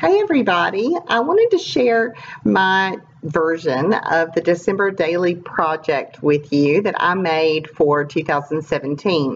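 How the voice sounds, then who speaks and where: Against noticeable background noise, a woman talks fairly slowly in a raspy, fairly low voice. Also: ordinary pitch variation, very even loudness. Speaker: scrapbooker. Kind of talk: casual talk to camera.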